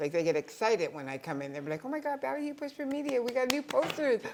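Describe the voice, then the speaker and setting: A woman rushes through her words very fast while her pitch leaps up and down very widely. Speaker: small business owner, poster distributor. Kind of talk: interview.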